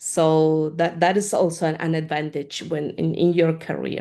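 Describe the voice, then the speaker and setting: A woman's fairly low-pitched, dark, mellow voice with a Spanish accent, monotone and flat in intonation, at a fairly slow pace over a quiet background. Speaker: community manager of open-source research software group. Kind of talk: Q&A after a talk. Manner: halting, many fillers and repeats.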